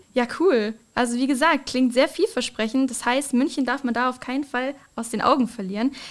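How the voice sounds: Speaking at a fairly quick pace, a woman uses a high pitch with ordinary pitch variation.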